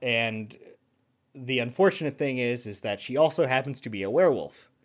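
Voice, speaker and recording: Speaking with an American accent, this man has a normal speaking voice, medium pitch and ordinary pitch variation. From US South. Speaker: voice actor. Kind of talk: casual interview.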